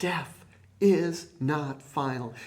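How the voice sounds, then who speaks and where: A man speaks in a room with audible echo. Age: 60s. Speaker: preacher. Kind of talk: sermon.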